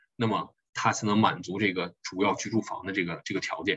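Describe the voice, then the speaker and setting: A man talks in a somewhat breathy voice. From China, Harbin. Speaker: tax accountant. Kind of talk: lecture. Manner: hesitant, many fillers.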